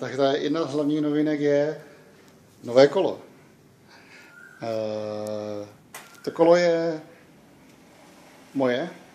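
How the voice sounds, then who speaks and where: Amid audible room echo and noticeable background noise, a man speaks at a very slow pace with long, frequent pauses, a fairly high pitch and ordinary pitch variation. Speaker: vlogger. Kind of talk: casual vlog chat. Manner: halting.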